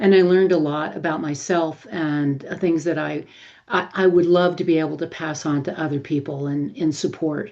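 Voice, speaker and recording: Against a quiet background, a woman with a very deep, low pitch and a dark, mellow tone speaks at a moderate pace with fairly even intonation. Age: 70s. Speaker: menopause interviewee, emotions author. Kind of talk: interview, personal testimony.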